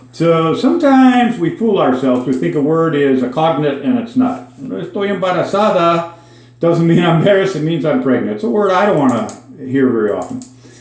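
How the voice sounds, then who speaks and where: Amid noticeable background noise and audible room echo, a man with an American accent speaks at a fairly quick pace, his fairly high pitch moving in very wide swings. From Minnesota, suburban Minneapolis. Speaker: Spanish language teacher. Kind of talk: casual language lesson monologue. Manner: conversational with frequent fillers.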